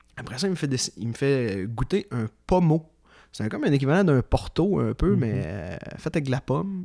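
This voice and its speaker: A man's dark, mellow tone at medium pitch, with very wide pitch swings. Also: moderate pace. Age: 20s. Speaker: history enthusiast guest. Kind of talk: casual interview.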